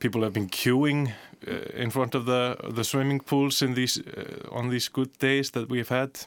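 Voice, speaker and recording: In a very clean recording with a silent background, a man with an Icelandic accent talks at a moderate pace and medium pitch, his intonation fairly even. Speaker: broadcast journalist. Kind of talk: casual chat. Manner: halting.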